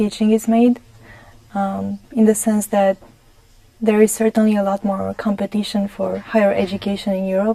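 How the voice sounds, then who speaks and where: A woman speaks with a Romanian accent. Her pace is moderate. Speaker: gerontologist. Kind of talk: TV interview. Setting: TV studio.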